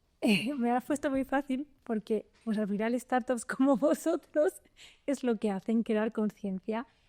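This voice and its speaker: A woman with a Spanish accent speaks at a fairly slow pace, her pitch high and her tone dark and mellow, with very even loudness. The recording is very clean, dry and close, with no echo and a silent background. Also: ordinary pitch variation. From Spain. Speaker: venture capital lawyer. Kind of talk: podcast interview.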